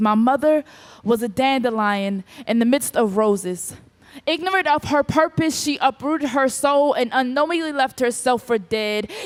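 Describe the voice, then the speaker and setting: Her pitch high, a woman speaks with lively intonation. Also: moderate pace. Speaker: spoken word poet. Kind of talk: spoken word poetry performance.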